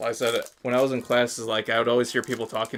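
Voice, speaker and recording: The man's voice sits at a medium pitch. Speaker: gaming streamer. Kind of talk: live stream card opening commentary. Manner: clear enunciation; fast, sometimes stumbling.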